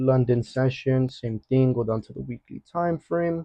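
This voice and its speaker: An energetic man speaks at a medium pitch. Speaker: forex trading educator. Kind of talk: market analysis tutorial. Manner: fast; casual, energetic.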